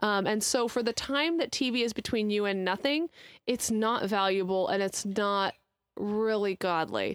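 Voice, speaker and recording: In a very clean, dry, close recording with a silent background and no echo, a woman with an ordinary speaking voice talks at medium pitch and a moderate pace, with ordinary pitch variation and very even loudness. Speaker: podcast co-host, parent. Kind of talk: casual chat.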